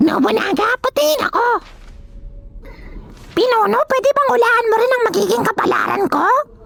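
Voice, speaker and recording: A put-on character voice at an extremely high pitch and moderate pace, with clear background noise. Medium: fan dub.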